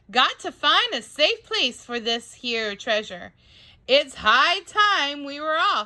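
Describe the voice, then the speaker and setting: In a put-on character voice, a woman bellows at a high pitch and a fairly slow pace. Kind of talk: bedtime story. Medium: read story. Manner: loud, bellowing.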